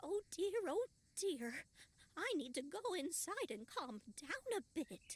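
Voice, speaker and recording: A woman does a put-on character voice at an extremely high pitch with very wide pitch swings. Her fairly slow delivery sounds dry and close, with no echo. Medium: video game.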